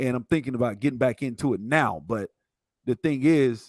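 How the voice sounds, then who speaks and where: This man, speaking at medium pitch with a Southern US accent, sounds dry and close with no echo on a very clean recording with a silent background. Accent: Southern drawl. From US South, Montgomery, Alabama. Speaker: IT instructor. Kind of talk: casual interview.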